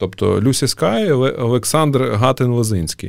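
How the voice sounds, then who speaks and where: On a very clean recording with a silent background, a man of medium pitch talks with ordinary pitch variation. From Ukraine, Kharkiv. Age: 30s. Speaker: breakdance community founder. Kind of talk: casual interview. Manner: halting with fillers.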